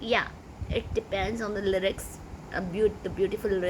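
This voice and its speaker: The speaker has a Pakistani accent, a fairly slow pace and fairly even intonation. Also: woman. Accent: Pakistani (Sindhi) English. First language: Sindhi. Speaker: YouTuber, amateur singer. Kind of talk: casual vlog talk. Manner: halting, many fillers.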